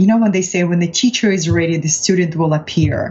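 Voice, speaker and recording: Over noticeable background noise, a woman with a Russian accent speaks with lively intonation. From Russia, Far East (Vladivostok). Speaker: transformational coach. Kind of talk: interview.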